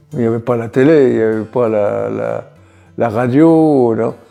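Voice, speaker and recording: A man with a medium-pitched voice talks at a very slow pace with ordinary pitch variation while music plays in the background. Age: 80s+. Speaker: Algerian War veteran. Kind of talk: interview answer. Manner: hesitant, reflective.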